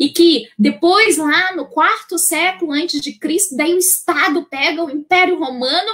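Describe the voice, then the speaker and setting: Hardly any pauses break up the fairly slow delivery. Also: woman, extremely high pitch for a woman, ordinary pitch variation. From northern Brazil, Santarém, Pará. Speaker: Bible teacher. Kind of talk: lecture. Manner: many fillers and repetitions.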